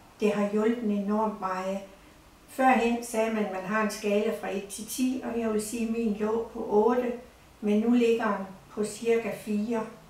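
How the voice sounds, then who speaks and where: Amid audible room echo and noticeable background noise, a woman speaks very slowly at a fairly high pitch in a monotone, flat delivery. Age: 70s. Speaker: patient giving testimonial. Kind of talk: testimony.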